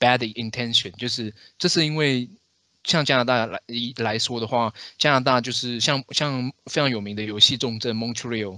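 On a very clean recording with a silent background, a man's bright, sharp tone carries fairly even intonation. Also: medium pitch for a man, moderate pace. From Taiwan. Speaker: podcast host. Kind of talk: casual chat.

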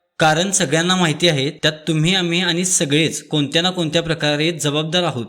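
The man's tone is bright and sharp. His pitch is fairly high, and his intonation is fairly even. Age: 20s. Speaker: YouTube news commentator, civil engineer. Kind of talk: explanatory commentary.

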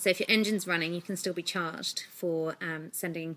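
With an English accent, a woman with a fairly low pitch talks at a very fast pace in a monotone, flat intonation. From UK. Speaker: vlogger. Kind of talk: vlog monologue. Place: home room. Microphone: phone near.

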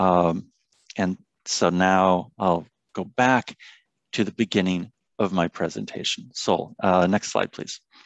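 A man with a very deep, low pitch speaks at a very slow pace, with long, frequent pauses and fairly even intonation. The sound is dry with no echo, and the background is quiet. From Olympia, Washington; Washington. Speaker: public health researcher and lecturer; lecturer. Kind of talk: presentation. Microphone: video call.

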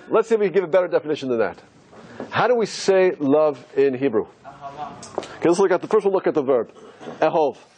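A man's intonation rises and falls in a lively way, with noticeable noise behind him. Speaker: rabbi. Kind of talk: religious lecture to a live audience.

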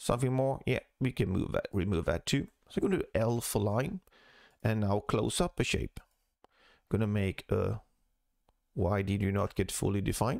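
On a very clean recording with a silent background, a man speaks at a moderate pace and fairly low pitch, with ordinary pitch variation, very even loudness and long, frequent pauses. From Sweden. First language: Swedish. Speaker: CAD tutorial creator. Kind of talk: tutorial.

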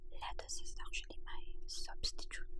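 A woman's voice with ordinary pitch variation, noticeable background noise, and a dry sound with no echo. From Philippines. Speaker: ASMR mukbang creator. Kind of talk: casual talk to camera.

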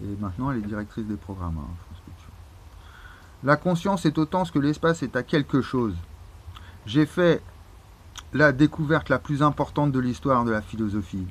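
The voice moves at a fairly quick pace with very wide pitch swings and big swings in loudness. Long pauses come often. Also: man, medium pitch for a man. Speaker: YouTuber. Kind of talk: casual monologue. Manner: halting.

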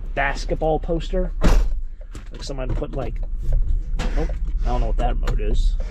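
A moderate pace in a dry sound with no echo, over loud background noise. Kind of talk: casual vlog chat. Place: car. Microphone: phone near.

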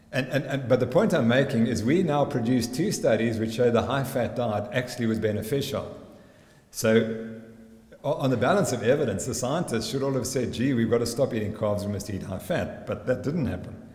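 Somewhat breathy, a man speaks at a moderate pace with ordinary pitch variation, and audible room echo surrounds his voice. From South Africa. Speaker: sports scientist. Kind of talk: conference presentation. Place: hall. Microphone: podium.

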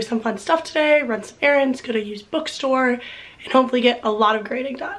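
A woman with an American accent, fairly high pitch, and ordinary pitch variation, over noticeable background noise. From Florida, Miami. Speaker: PhD student vlogger. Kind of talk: casual vlog talk.

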